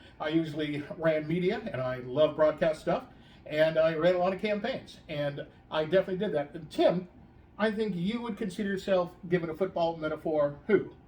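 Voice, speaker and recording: Words come at a moderate pace. They are spoken with an American accent. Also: man, high pitch for a man, ordinary pitch variation. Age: 60s. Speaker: political operative. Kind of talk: casual chat.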